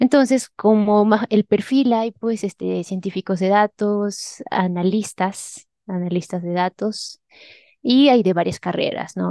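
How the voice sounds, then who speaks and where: In a dry, close recording with no echo and a quiet background, a woman of medium pitch speaks fairly slowly with a dark, mellow tone and fairly even intonation. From Peru, Huánuco (central highlands). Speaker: head of an advanced analytics team. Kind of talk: interview.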